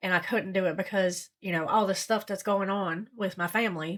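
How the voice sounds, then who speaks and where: A woman's bright, sharp voice at a fairly quick pace with ordinary pitch variation, on a very clean recording with a silent background. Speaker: recovery vlogger. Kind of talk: personal vlog. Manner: halting, stuttering.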